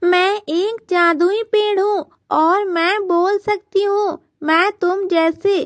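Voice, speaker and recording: In a cartoonish character voice, a female-sounding speaker uses an extremely high pitch and a gentle tone. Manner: gentle, earnest.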